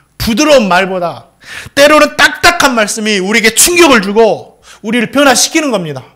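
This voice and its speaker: Projecting a raised voice, a man speaks at an extremely high pitch with very wide pitch swings and a bright, sharp tone. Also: fairly quick pace. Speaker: pastor. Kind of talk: sermon. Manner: halting, self-described as clumsy.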